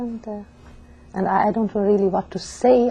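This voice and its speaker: Behind the speech is noticeable background noise. The woman keeps a moderate pace. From Hungary, Budapest. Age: 70s. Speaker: Holocaust survivor. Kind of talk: testimony. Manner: halting.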